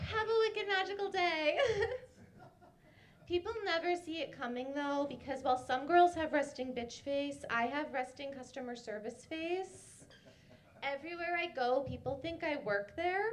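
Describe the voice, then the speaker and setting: With an American accent, a woman speaks at a high pitch. Her intonation is lively, and audible room echo surrounds it. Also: moderate pace. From Massachusetts, Boston area. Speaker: stand-up comedian. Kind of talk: stand-up. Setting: stage with audience.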